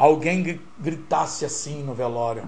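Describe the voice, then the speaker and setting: Against noticeable background noise and audible room echo, a man talks in an animated tone. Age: 50s. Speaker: radio broadcaster and journalist. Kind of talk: casual interview.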